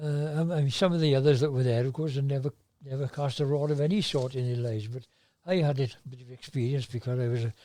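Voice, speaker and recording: On a very clean recording with a silent background, a man with a South Welsh accent speaks very fast in a fairly high pitch, with a dark, mellow tone and fairly even intonation. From South Wales. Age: 80s+. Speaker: fly fisherman. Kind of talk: podcast interview answer. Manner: hesitant, conversational.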